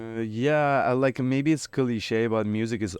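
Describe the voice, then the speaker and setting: A man's voice in an Iranian accent, with a dry, close sound and no echo. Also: quiet background. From Iran, Tehran. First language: Farsi. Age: 30s. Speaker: rapper. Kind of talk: casual interview. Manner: halting, many fillers.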